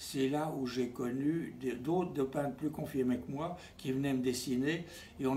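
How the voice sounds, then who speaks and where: A man at a medium pitch and moderate pace, with ordinary pitch variation and audible room echo. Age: 90s. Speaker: painter. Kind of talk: interview. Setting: at home. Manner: halting.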